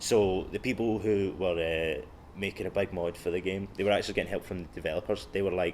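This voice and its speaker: Speaking very fast, a man with a Glaswegian accent keeps a fairly low pitch and monotone, flat intonation. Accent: Glaswegian Scottish. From Scotland, Clydebank near Glasgow. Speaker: comedian. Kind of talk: casual chat. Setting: library. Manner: halting, many fillers.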